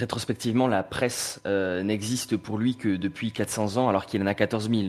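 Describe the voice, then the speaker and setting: A man with a normal speaking voice talks in a fairly low pitch with fairly even intonation. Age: 30s. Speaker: journalist and podcast panelist. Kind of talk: casual chat.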